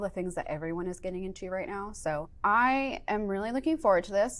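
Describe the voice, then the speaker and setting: Lively intonation marks a woman with an American accent who talks at a fairly quick pace. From upstate New York. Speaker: software engineer teaching a workshop; workshop instructor. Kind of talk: workshop lecture. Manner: fast. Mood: friendly, enthusiastic. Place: studio.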